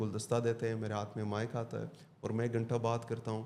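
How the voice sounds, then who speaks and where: A man talks at a medium pitch in an unremarkable speaking voice. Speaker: corporate trainer, motivational speaker. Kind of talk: podcast interview answer.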